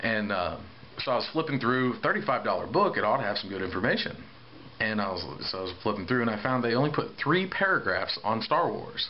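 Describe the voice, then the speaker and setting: Noticeable background noise sits behind a man with a medium pitch. He talks at a fairly quick pace with very wide pitch swings. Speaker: Star Wars toy collector. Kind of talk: casual talk to camera. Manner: rambling.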